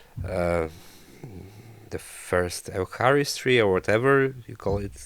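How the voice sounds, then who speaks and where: In a Polish accent, a man of fairly low pitch talks at a very slow pace with ordinary pitch variation, big swings in loudness and long, frequent pauses. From Poland. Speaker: traveler and photographer. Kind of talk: casual interview chat. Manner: halting, many fillers.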